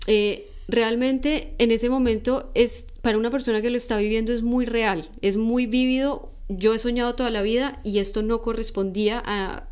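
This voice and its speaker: A woman speaks with a Bogotá accent at a fairly high pitch, her intonation fairly even. Audible room echo surrounds her voice. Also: moderate pace, hardly any pauses. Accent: Colombian Spanish (Bogotá). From Colombia, Bogotá. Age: 30s. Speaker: guest sharing spiritual testimony. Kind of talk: personal testimony.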